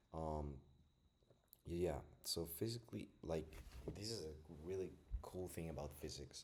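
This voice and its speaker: Non-native accent, fairly slow pace, ordinary pitch variation, and long, frequent pauses. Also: man, very deep, low pitch for a man. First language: not English. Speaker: self-taught physics student vlogger. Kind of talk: casual study vlog. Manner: casual, filler-heavy.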